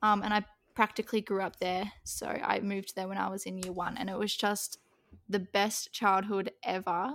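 Speech comes at a moderate pace in a monotone, flat intonation. The recording is very clean, with a silent background. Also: woman, medium pitch for a woman. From Western Australia. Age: young. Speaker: podcast co-host. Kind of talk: casual chat.

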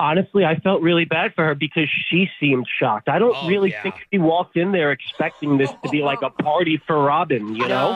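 Against noticeable background noise, a man with a fairly high pitch talks at a fairly quick pace, with ordinary pitch variation and very even loudness. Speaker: radio show phone guest. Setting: phone.

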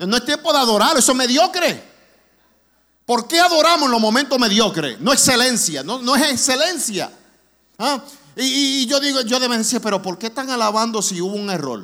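A raised, projected voice with lively intonation at a moderate pace. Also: man, extremely high pitch for a man. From New York (Brooklyn), raised partly in Orlando. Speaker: guest preacher, charity vice president. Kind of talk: sermon. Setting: church. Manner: raises voice with passion.

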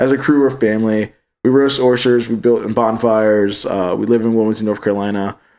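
A man talks at a fairly quick pace in an ordinary speaking voice, his pitch medium and his intonation fairly even. The background is quiet. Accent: American. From Virginia, Richmond. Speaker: podcast host. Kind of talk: casual banter, profane chat. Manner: casual, joking, laughing often.

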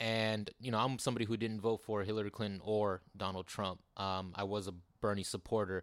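A man with an unremarkable speaking voice talks at a fairly quick pace, fairly low in pitch, with fairly even intonation and hardly any pauses. The recording is very clean with a silent background. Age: 30s. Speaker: political candidate. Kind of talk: interview.

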